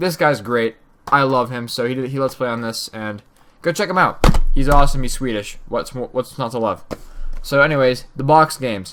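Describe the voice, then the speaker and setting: This man talks at a fairly quick pace with a medium pitch. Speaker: gaming YouTuber. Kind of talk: casual vlog commentary. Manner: fast.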